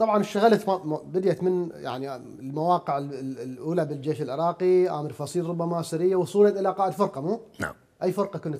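A man's high-pitched voice with a dark, mellow tone, ordinary pitch variation and a fairly quick pace. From Iraq. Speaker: TV interviewer. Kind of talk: interview. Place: home room.

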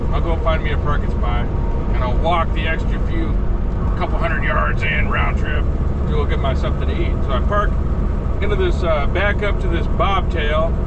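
A man talks at a moderate pace amid loud background noise. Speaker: truck driver. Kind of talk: angry late-night rant mocking rookie truckers. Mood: annoyed, ranting. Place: car. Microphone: camera far.

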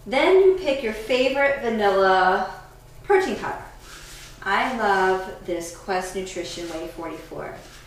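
A woman speaks at a fairly slow pace. Audible room echo and light background noise are present. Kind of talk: tutorial. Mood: upbeat and enthusiastic. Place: kitchen. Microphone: camera far.

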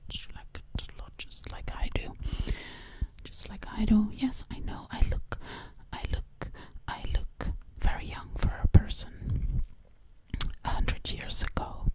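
In a put-on character voice, a woman whispers at a moderate pace, breathy throughout. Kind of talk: ASMR role play. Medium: role play. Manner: whispered, breathy; sassy.

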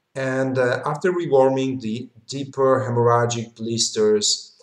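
A man's fairly slow voice with fairly even intonation, audible room echo and a quiet background. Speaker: medical lecturer. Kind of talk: lecture. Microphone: webcam.

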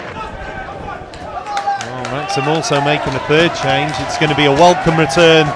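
A man with a British accent speaks at a very slow pace over loud background noise, the sound dry with no echo. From Britain. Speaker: football commentator. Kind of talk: commentary. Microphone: headset.

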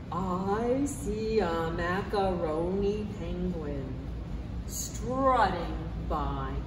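Over noticeable background noise, a woman talks at a very slow pace. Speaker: library storyteller. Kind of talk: children's story reading. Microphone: camera far.

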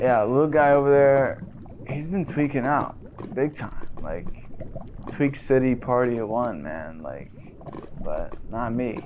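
Putting on a character voice, a man drawls at a fairly slow pace in a medium pitch, leaving long, frequent pauses. Clear background noise runs underneath. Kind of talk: deadpan comedy sketch. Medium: comedy sketch. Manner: relaxed, drawling, slangy.

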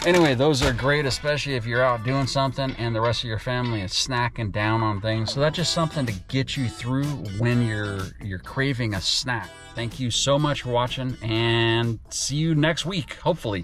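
Clear music plays in the background as a man talks at a moderate pace with ordinary pitch variation, in a dry sound with no echo. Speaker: diet vlogger. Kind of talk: casual vlog chat.

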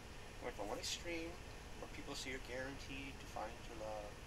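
A woman speaks at a fairly quick pace over loud background noise. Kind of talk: casual talk to camera. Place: home room. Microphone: webcam.

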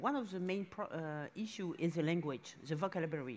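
A woman speaks with a French accent at a moderate pace. Her pitch varies in an ordinary way. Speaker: museum director. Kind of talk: panel discussion. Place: stage. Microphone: headset.

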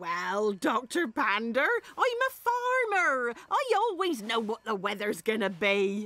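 A female-sounding cartoonish character voice, fairly high in pitch. It moves at a very slow pace. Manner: warm, folksy, matter-of-fact.

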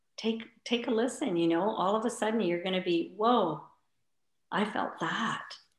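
Over a quiet background with audible room echo, a woman speaks with ordinary pitch variation. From India. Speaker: spiritual healer and yoga teacher; yoga teacher. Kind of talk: interview. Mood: calm, warm, reflective. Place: home room. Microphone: video call.

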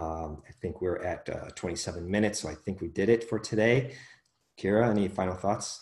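A man speaks at a moderate pace with an American accent, his pitch fairly low. His voice is somewhat breathy, with ordinary pitch variation. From US Midwest, Chicago suburbs; Illinois. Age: 30s. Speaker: podcast host, mind coach. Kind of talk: casual chat. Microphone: video call.

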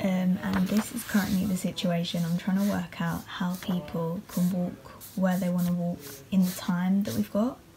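Over noticeable background noise, a woman with a British accent and medium pitch talks at a moderate pace with hardly any pauses. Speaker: vlogger. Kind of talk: casual vlog. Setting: outdoors on the street while filming. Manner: chatty, animated.

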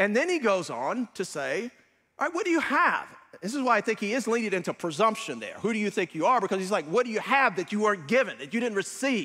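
A man's high-pitched, raised, projected voice at a very fast pace, with very wide pitch swings and a quiet background. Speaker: preacher. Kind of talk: sermon. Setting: church. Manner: earnest, conversational preaching with frequent hesitations and self-repeats; exhortative, pastoral, warmly encouraging. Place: church. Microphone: lapel.

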